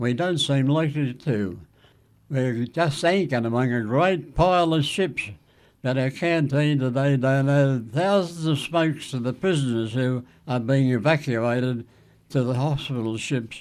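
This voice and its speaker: Here a man speaks with an Australian accent. His pitch varies in an ordinary way. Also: fairly high pitch for a man, moderate pace, very clean recording, silent background. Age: 80s+. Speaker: war veteran. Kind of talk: reading aloud from an old letter.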